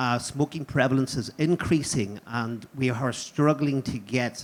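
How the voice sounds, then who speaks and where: Using fairly even intonation, a man with a Northern Irish accent speaks at medium pitch. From Northern Ireland. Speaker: audience member, private sector. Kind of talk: audience question.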